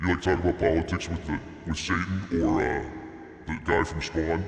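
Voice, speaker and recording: A man uses a put-on character voice with a very deep, low pitch at a moderate pace. There is clear background noise and a slight echo. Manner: joking, exaggerated.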